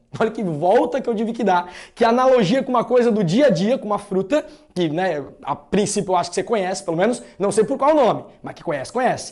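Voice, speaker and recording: A man's high-pitched, animated voice with lively intonation and a slight Santa Catarina accent. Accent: slight Santa Catarina interior. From interior of Santa Catarina, southern Brazil. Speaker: math teacher. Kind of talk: lecture.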